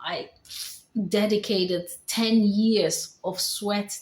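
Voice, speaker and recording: A woman speaks with a slight Dutch accent. Her pitch is fairly high. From Netherlands. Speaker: vlogger. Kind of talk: personal testimony vlog.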